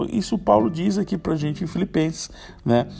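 Fairly high-pitched male speech with background music. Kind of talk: devotional talk. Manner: halting.

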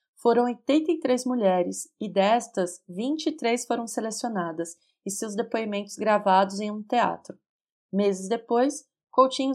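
A woman with a Brazilian accent, her fairly high voice full of lively intonation, on a very clean recording with a silent background. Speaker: podcast host, film reviewer. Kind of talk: scripted podcast narration. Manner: casual, chatty.

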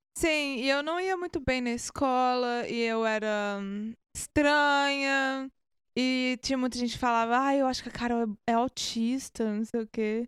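Dry and close with no echo, the voice moves at a fairly slow pace with ordinary pitch variation. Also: woman, high pitch for a woman. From Brazil, Minas Gerais. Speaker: musician. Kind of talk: casual chat.

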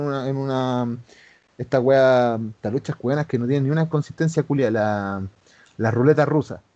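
In a Chilean accent, a man speaks with a dark, mellow tone. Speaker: former pro wrestler. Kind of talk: casual chat.

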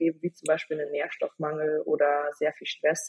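Somewhat breathy, a woman talks at a moderate pace. The sound is dry and close, with no echo. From Bavaria, Germany. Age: 20s. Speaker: hormone and nutrition expert. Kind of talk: podcast interview.

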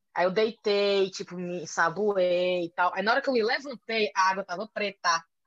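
An ordinary speaking voice from a woman at medium pitch and moderate pace, with ordinary pitch variation, hardly any pauses, and a dry, close sound with no echo. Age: 30s. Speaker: journalist and podcaster. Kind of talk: casual interview chat.

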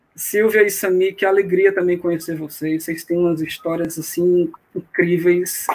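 Pitched high, a man speaks at a fairly slow pace in a monotone, flat intonation. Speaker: amateur runner. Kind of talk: casual live stream chat. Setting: online live stream.

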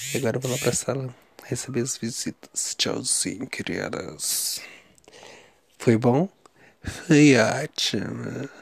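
Very slow delivery with long, frequent pauses and vocal fry. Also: man, medium pitch for a man, ordinary pitch variation. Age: 30s. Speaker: video diarist. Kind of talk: personal video diary. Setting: lying on mattress in bedroom. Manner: chatty, casual.

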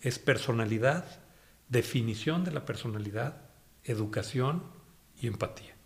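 A man's somewhat breathy voice at a medium pitch, fairly slow pace and ordinary pitch variation, with long, frequent pauses. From Mexico, Guanajuato (Irapuato). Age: 50s. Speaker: media executive. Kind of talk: interview. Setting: at his home.

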